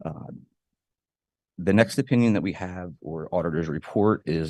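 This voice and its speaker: Soft-spoken, a man talks at a fairly quick pace in a very deep, low voice with vocal fry and lively intonation. The sound is dry and close with no echo, over a quiet background. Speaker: school district auditor. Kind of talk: formal presentation. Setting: board meeting.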